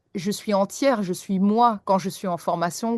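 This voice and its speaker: Against a quiet background, a woman with a normal speaking voice talks at a moderate pace and a medium pitch, the sound dry and close with no echo. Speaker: English teacher. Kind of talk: podcast interview.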